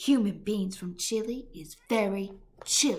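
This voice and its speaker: A woman does a put-on character voice at medium pitch. She speaks at a fairly slow pace. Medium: read story. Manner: loud, roaring, coarse; mangled giant grammar and invented words.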